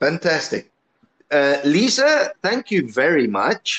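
The pace is very slow, with vocal fry and very wide pitch swings. The sound is dry and close with no echo. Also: man. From Italy. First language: Italian. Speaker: podcast host. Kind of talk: interview. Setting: online call from home. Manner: halting.

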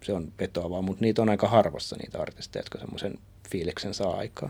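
A man speaks at a fairly quick pace in a fairly low pitch with ordinary pitch variation, in a plain, everyday voice. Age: 30s. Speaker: podcast co-host. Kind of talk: casual chat.

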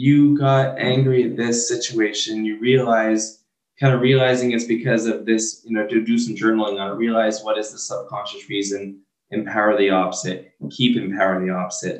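A man has a normal speaking voice at a medium pitch. His intonation stays fairly even. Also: moderate pace. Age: 30s. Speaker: mental health speaker. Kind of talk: interview.

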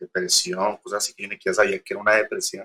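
A male voice recorded close and dry, without echo. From Colombia, Girardot. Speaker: industrial designer and poster artist. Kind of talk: interview. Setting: remote call.

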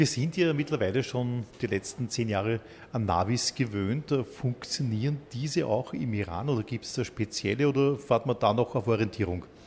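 A man is speaking here. His voice is somewhat breathy, with ordinary pitch variation. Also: medium pitch for a man, moderate pace. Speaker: podcast host. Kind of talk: interview.

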